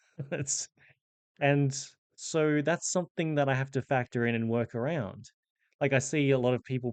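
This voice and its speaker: A man's medium-pitched voice at a moderate pace, ordinary pitch variation, quiet background. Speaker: professional Dungeon Master. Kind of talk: casual explainer monologue. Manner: conversational with fillers.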